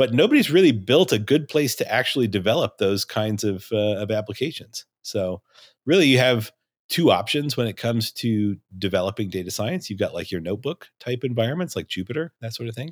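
An American-accented man with an unremarkable speaking voice and medium pitch talks at a fairly quick pace with lively intonation, in a very clean recording with a silent background and a dry, close sound with no echo. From Nevada. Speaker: co-founder of a software startup. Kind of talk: casual interview conversation.

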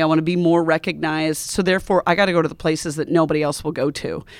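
A woman with a Western US accent talks at a very fast pace. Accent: General American, western US. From US Mountain West (Montana and Wyoming). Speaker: journalist, foreign correspondent. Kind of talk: interview, casual chat. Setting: studio.

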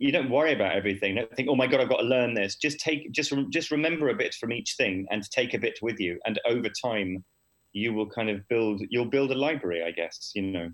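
The speech runs at a very fast pace with lively intonation. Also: man, medium pitch for a man. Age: 40s. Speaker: actor and improviser. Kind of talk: interview.

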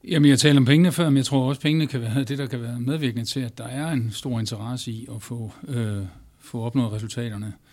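A man speaks at a very fast pace and medium pitch with ordinary pitch variation. The recording is very clean, with a silent background. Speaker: journalist. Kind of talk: panel discussion. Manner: halting, many fillers.

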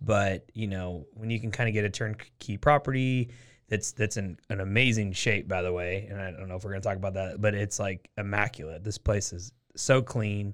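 In a very clean recording with a silent background, a man with an American accent uses an ordinary speaking voice at a fairly low pitch, a moderate pace and ordinary pitch variation. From Portland, Oregon. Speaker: real estate investor and business owner. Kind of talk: casual interview.

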